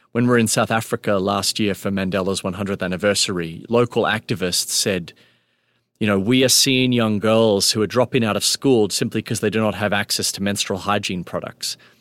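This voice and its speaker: He speaks with an Australian accent. The man's intonation is fairly even. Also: fairly low pitch for a man, fairly quick pace. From Melbourne, Australia. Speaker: nonprofit founder and chief executive. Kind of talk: interview conversation. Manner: halting with fillers.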